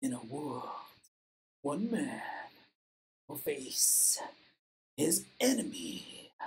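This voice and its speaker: A put-on character voice speaks at a very slow pace. Long pauses come often. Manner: dramatic, booming.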